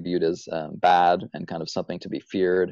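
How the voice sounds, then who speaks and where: A man with a very deep, low pitch and a dark, mellow tone speaks at a moderate pace. The sound is dry with no echo, over a quiet background. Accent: American. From US Midwest. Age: 30s. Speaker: author and editor. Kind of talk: interview conversation. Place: home room. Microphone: earbuds.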